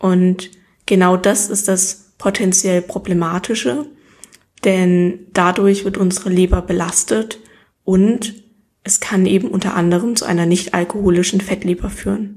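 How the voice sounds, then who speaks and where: Fairly slow, somewhat breathy speech from a woman. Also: medium pitch for a woman. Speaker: nutrition podcast host. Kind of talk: solo educational talk. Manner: less enthusiastic than usual.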